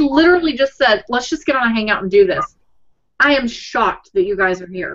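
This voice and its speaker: A fairly quick pace with very wide pitch swings, in a Texas accent. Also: woman. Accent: Texas twang. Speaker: blogging coach. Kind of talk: casual chat. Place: home room. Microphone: webcam.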